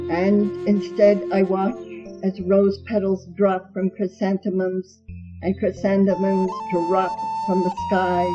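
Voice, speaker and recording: Music plays in the background. A woman speaks at a medium pitch and a very slow pace. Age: old. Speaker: poet. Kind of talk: poetry reading.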